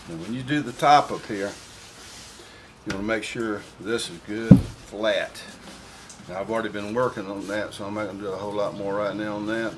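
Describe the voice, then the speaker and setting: Over noticeable background noise, a man with a Southern US accent speaks at a fairly quick pace with long, frequent pauses. His voice is fairly low in pitch, fairly even in intonation, and swings widely in loudness. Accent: Southern US (Georgia). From US South, Atlanta, Georgia. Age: 60s. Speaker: guitar builder. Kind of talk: tutorial. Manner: casual, folksy.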